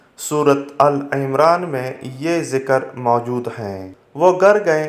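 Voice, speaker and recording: This man has an ordinary speaking voice with ordinary pitch variation. His pitch is fairly high. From Pakistan. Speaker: voice-over artist. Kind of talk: religious story narration.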